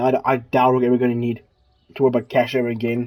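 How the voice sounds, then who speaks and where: A man speaks at a fairly quick pace in a dark, mellow tone, his pitch medium. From South Africa. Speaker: gaming YouTuber. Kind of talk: gameplay commentary. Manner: halting, many fillers and repetitions; casual, chatty.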